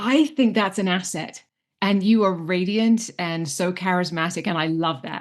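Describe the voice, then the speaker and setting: Against a quiet background, the speaker moves at a fairly slow pace with ordinary pitch variation. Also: woman. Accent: British. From England, London. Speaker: public speaking coach. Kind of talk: virtual summit Q&A. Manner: animated.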